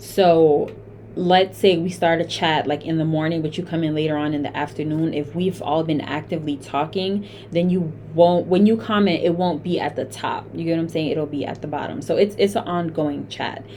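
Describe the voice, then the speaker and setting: The speech moves at a moderate pace with ordinary pitch variation, and noticeable background noise can be heard. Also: woman, fairly low pitch for a woman. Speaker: community founder and chancellor. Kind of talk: tutorial.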